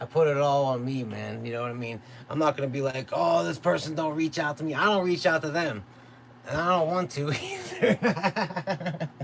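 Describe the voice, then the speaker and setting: A man at a moderate pace, fairly high in pitch with lively intonation, over noticeable background noise. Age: 30s. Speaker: beatmaker streamer. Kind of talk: live stream casual chat. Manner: casual, laid-back.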